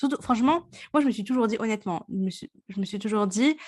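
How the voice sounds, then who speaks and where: Against a quiet background, a woman speaks at a fairly quick pace in a plain, everyday voice. Her pitch varies in an ordinary way. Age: 30s. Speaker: podcast host. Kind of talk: casual chat.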